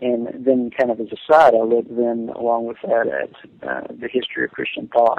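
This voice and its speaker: Speaking at a moderate pace with hardly any pauses, a man talks in a Tennessee accent. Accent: Southern US (Tennessee). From Middle Tennessee (Jamestown). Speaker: pastor and theology PhD student. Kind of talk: casual chat. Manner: halting.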